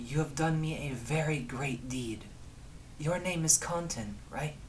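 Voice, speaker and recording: A man speaks in a put-on character voice at a fairly high pitch. He goes at a fairly slow pace over clear background noise. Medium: actual play.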